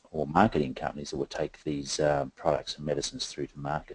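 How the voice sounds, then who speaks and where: Fairly quick male speech with an Australian accent. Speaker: company founder and director presenting to investors. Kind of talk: investor presentation. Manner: many filler words (um, uh).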